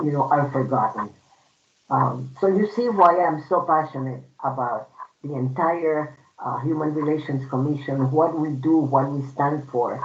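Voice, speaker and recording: Someone with a Puerto Rican accent speaks at a fairly slow pace. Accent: Puerto Rican Spanish accent, lifelong. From Puerto Rico. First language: Spanish. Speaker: human rights commissioner. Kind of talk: personal testimony at a storytelling event.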